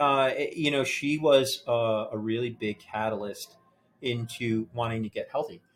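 In a very clean recording with a silent background, a man with a normal speaking voice talks at a fairly slow pace, with medium pitch and ordinary pitch variation. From New Jersey. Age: 40s. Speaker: banker. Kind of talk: casual interview. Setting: gym.

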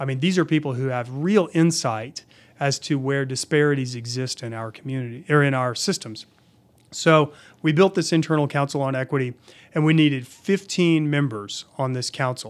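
On a very clean recording with a silent background, a man with an American accent speaks at a moderate pace in a fairly high pitch with ordinary pitch variation. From Oklahoma City, Oklahoma. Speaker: state agency director. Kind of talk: interview. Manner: hesitant, many fillers.

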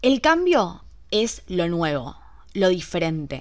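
A woman speaks with a Rioplatense accent at fairly low pitch. Her tone is animated over a quiet background. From Argentina, Buenos Aires. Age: 20s. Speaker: podcast host. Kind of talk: solo podcast monologue.

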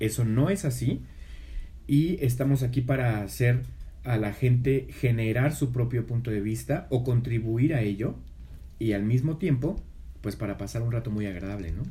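A man's somewhat breathy, dark and mellow voice at medium pitch, moderate pace and ordinary pitch variation. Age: 30s. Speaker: podcast co-host. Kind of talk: casual chat.

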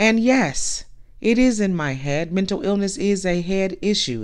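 A woman talks at a fairly slow pace. Her voice has a medium pitch and a warm tone. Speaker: podcast host. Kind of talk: pep talk. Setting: solo podcast. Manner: warm, emphatic, direct and sassy, like a big-sister pep talk.

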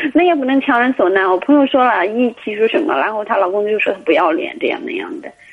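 A woman speaks very fast with hardly any pauses, her fairly high pitch swinging very widely over noticeable background noise. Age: 30s. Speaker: caller. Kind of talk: phone-in advice call. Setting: phone call.

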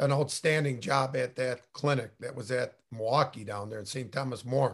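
A somewhat breathy man speaks at a moderate pace with ordinary pitch variation. The background is quiet. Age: 50s. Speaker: high school coach and podcast co-host. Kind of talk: casual chat.

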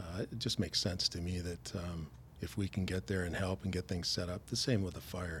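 Using vocal fry, a man with a Canadian accent talks at a fairly quick pace in a very deep, low pitch. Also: ordinary pitch variation. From Canada, Stratford, Ontario. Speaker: retired firefighter and former baseball player. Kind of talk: casual interview.

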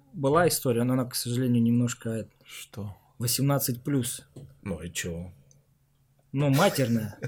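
A man with a medium pitch sounds somewhat breathy, with lively intonation. He talks at a fairly slow pace with long, frequent pauses. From Siberia, Omsk. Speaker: podcast host, former footballer. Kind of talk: casual interview chat.

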